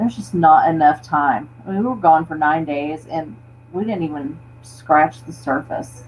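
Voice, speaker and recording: A woman with an American accent, very deep and low in pitch, lively in intonation, at a moderate pace. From Florida panhandle. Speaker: overlanding enthusiast. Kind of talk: casual chat.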